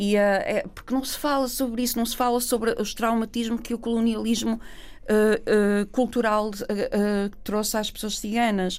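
Fairly slow, monotone, flat delivery with hardly any pauses. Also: woman, fairly high pitch for a woman. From northern Portugal, Gaia/Porto. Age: 40s. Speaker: theatre artist and Roma activist. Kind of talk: interview conversation. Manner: halting, many repetitions.

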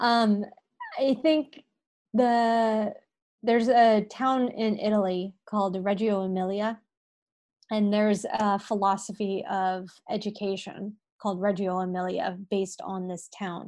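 Against a quiet background, a woman with an unremarkable speaking voice and an American accent talks at a fairly slow pace. Her medium pitch shows ordinary pitch variation. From California, US. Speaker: dietitian. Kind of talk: interview conversation.

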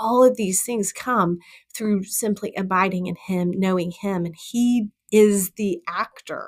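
A woman with a normal speaking voice at medium pitch, a fairly slow pace and an American accent. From Texas. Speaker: women's ministry leader and author. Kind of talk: interview, personal testimony.

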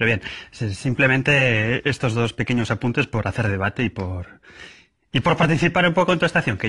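In a very clean recording with a silent background, a man talks at a fairly quick pace and medium pitch, his bright, sharp tone carried by lively intonation. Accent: Madrid. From Madrid. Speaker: listener leaving a voice message. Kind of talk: recorded voice message.

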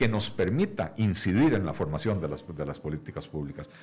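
A man's voice carries vocal fry and very wide pitch swings. He moves at a fairly quick pace. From Costa Rica. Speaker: economist and party leader. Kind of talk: radio interview. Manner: hesitant, many fillers and repetitions.

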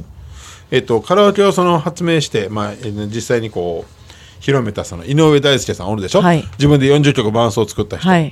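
A man's fairly high voice in a Kansai accent, fairly quick in pace, with very wide pitch swings. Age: 50s. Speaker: radio host. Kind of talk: casual chat.

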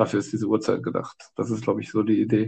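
A man talks at a moderate pace. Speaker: exchange student. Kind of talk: casual chat.

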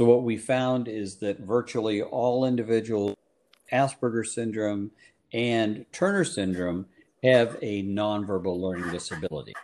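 A man with a plain, everyday voice speaks at a medium pitch with ordinary pitch variation. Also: moderate pace. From Canada, Guelph, Ontario. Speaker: psychologist. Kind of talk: interview.

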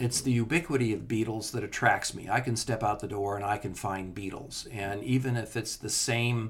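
A man with a Californian accent, fairly low in pitch and somewhat breathy, at a fairly quick pace with fairly even intonation. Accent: General American (Californian). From Southern California. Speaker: entomologist and author. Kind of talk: interview, casual chat.

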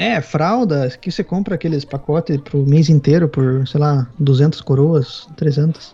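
Somewhat breathy with a dark, mellow tone, the voice moves at a very slow pace with hardly any pauses and ordinary pitch variation. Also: man, fairly high pitch for a man. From Paraná, Brazil. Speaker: materials engineer. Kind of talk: casual chat.

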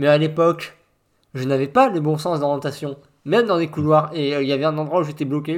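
On a very clean recording with a silent background, a man with a fairly high voice talks at a very fast pace with fairly even intonation. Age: 40s. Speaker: podcast host. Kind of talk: casual chat.

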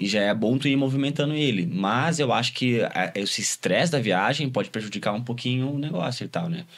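In a very clean recording with a silent background, a man with an unremarkable speaking voice and a medium pitch talks at a fairly quick pace with lively intonation. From Brazil, Cuiabá and Rio Grande do Sul. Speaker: electronic music producer and DJ. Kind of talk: casual interview.

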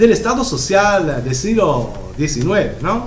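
With an Italian accent, a man swings very widely in pitch, while noticeable background noise and audible room echo fill the recording. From Italy. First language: Italian (speaking Spanish). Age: 50s. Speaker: professor. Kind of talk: lecture. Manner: halting.

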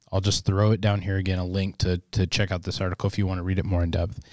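Recorded very cleanly against a silent background, a man with an American accent speaks in a very deep, low voice with fairly even intonation. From US Midwest. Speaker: podcast host. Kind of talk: casual chat.

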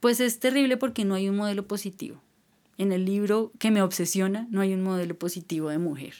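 This is a normal speaking voice with ordinary pitch variation at a fairly quick pace. The recording is very clean, with a silent background. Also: woman, medium pitch for a woman. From Colombia, Boyacá. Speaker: writer and musician. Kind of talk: casual interview chat.

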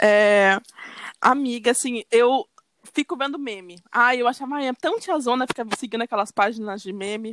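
Delivered at a moderate pace with ordinary pitch variation, the voice has a dry, close sound with no echo. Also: woman. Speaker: podcast co-host. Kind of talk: casual chat.

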